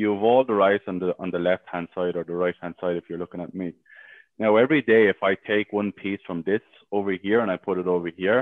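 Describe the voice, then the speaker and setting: A man with a very deep, low pitch and an Irish accent, at a fairly quick pace with fairly even intonation. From Ireland. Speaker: sales team manager and coach. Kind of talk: interview. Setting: live stream in a Facebook group.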